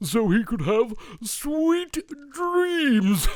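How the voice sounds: A man puts on a character voice at an extremely high pitch. He talks very slowly with big pitch swings.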